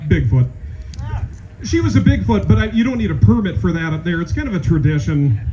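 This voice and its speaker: Noticeable background noise and audible room echo surround a man speaking with a Minnesotan accent and very wide pitch swings. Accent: Minnesota. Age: 40s. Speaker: comedian. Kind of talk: stand-up.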